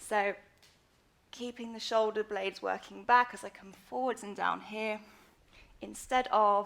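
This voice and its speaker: A woman talks at a fairly high pitch with fairly even intonation. Her loudness swings widely, and she leaves long, frequent pauses. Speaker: yoga teacher. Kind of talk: live online yoga tutorial. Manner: fast.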